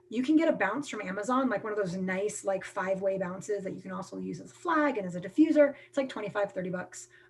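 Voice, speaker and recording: Over noticeable background noise, a woman talks at a very fast pace with hardly any pauses, lively intonation and big swings in loudness. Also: medium pitch for a woman. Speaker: film workshop presenter, production company president. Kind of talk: live online workshop talk. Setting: video call. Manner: casual, filler-heavy.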